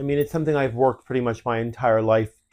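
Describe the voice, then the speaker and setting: In a Canadian accent, a man with a normal speaking voice talks at a medium pitch with fairly even intonation against a quiet background. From Canada. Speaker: fashion designer, podcast co-host. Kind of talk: casual podcast chat.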